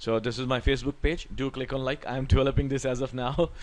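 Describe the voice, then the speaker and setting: Speaking at a fairly quick pace, a man with an Indian accent has a medium pitch. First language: Hindi. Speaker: Excel tutor. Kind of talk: tutorial.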